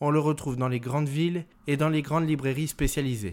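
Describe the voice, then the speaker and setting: On a very clean recording with a silent background, a man has a normal speaking voice, with a fairly high pitch and ordinary pitch variation. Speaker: podcast host. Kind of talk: scripted narration.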